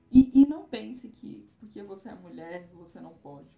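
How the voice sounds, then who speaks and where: A woman talks at a fairly slow pace with a medium pitch. Audible room echo and noticeable background noise surround her. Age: 30s. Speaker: travel influencer. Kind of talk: casual chat.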